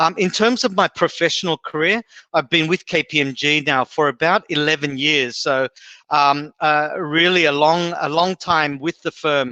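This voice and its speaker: At a fairly high pitch, a man speaks with a bright, sharp tone, ordinary pitch variation and a moderate pace. The sound is dry and close with no echo, and the background is quiet. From Australia, Sydney. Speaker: HR executive, guest speaker. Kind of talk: presentation. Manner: many fillers and hesitations.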